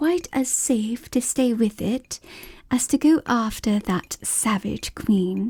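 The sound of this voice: The voice heard is an unforced reading voice.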